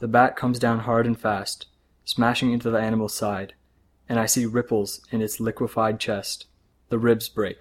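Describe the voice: The clip consists of plain reading aloud.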